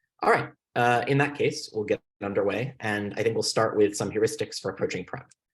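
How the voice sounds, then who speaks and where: A man's somewhat breathy voice at a fairly quick pace. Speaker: debate coach. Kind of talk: lecture. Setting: video call. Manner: fast.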